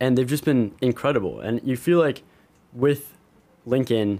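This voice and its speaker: A man's ordinary speaking voice, moderate in pace, with fairly even intonation. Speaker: sports reporter. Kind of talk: casual sports talk recap.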